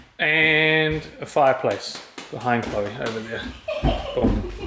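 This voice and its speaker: A man's fairly high voice with a New Zealand accent. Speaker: 4WD adventure vlogger. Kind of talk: casual vlog narration.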